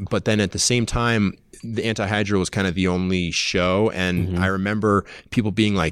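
A man with an American accent and a normal speaking voice, talking at a fairly quick pace with fairly even intonation, on a very clean recording with a silent background. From Massachusetts. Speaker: climbing podcast host. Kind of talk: casual interview chat. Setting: conference room at trade show.

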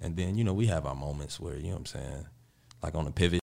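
With vocal fry and a very deep, low pitch, a man speaks very fast with ordinary pitch variation. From Chicago, Austin neighborhood (West Side). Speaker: rapper. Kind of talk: interview. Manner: casual, laid-back.

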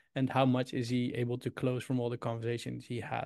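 A man with a Dutch accent talks at a fairly quick pace in a medium pitch. His tone is dark and mellow against a quiet background. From Netherlands, Utrecht. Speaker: startup founder. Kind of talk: interview. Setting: video call.

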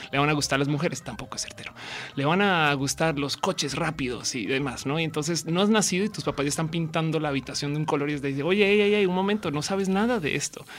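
A woman with a very deep, low voice talks very fast with ordinary pitch variation over noticeable background noise. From Colombia, Bogotá. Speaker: comedian and science communicator. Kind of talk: casual chat. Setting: radio studio, live.

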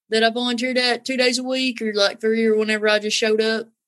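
A woman with a Southern accent, fairly high pitch and fairly even intonation. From North Carolina. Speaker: singer and horse trainer. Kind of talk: casual chat.

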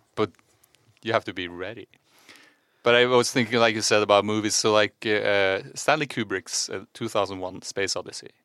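A man speaks fairly quickly with a Norwegian accent, his pitch fairly low and his tone bright and sharp, with fairly even intonation. The recording is very clean and dry, close with no echo and a silent background. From Norway. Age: 40s. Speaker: podcast co-host. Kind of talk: casual chat.

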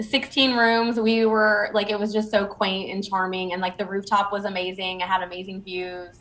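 An unremarkable speaking voice moves at a moderate pace with hardly any pauses and fairly even intonation. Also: woman, medium pitch for a woman. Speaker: influencer. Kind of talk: casual chat.

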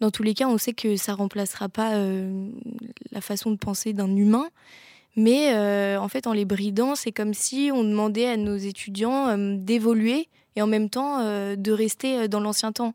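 With an unremarkable speaking voice, a woman speaks at a fairly high pitch and a fairly slow pace on a very clean recording with a silent background. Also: fairly even intonation. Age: young. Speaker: communications student. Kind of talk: interview; hosting a talk.

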